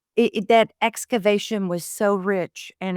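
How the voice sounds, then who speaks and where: A woman speaks at a moderate pace with ordinary pitch variation, and the sound is dry and close with no echo. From Texas. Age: 60s. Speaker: therapist. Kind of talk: podcast interview.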